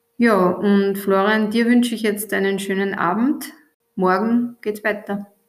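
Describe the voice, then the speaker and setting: At a fairly slow pace, a woman with a normal speaking voice and a medium pitch speaks with fairly even intonation. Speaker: teacher and podcast host. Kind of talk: school podcast interview. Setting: recorded in the evening.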